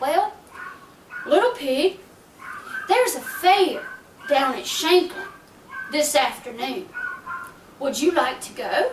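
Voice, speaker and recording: A woman's put-on character voice, extremely high-pitched and fairly slow, broken by long, frequent pauses. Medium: read story. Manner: sly.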